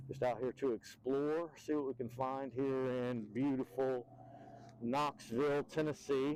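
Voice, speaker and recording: At a medium pitch, a man talks at a fairly slow pace. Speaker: e-bike reviewer. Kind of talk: casual ride-along review.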